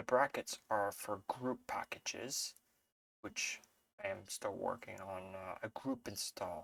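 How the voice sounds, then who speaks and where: Quiet and very slow, a man talks in a dry, close sound with no echo. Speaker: Linux tutorial creator. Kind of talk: screen-share tutorial. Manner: hesitant with fillers.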